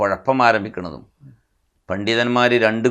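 This is a plain, everyday voice from a man at a medium pitch. The recording is very clean and the background silent. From Kerala, Malappuram. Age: 60s. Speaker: Islamic scholar. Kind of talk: interview.

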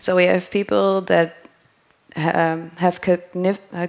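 A woman with a fairly low pitch for a woman against a quiet background. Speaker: conference speaker. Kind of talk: lecture. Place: hall. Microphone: headset.

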